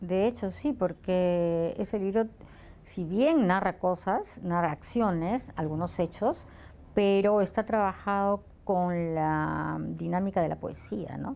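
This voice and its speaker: Against a quiet background, a woman speaks at a very slow pace in a medium pitch and dark, mellow tone, with ordinary pitch variation. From Lima, Peru. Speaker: writer and poet. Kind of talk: interview answer.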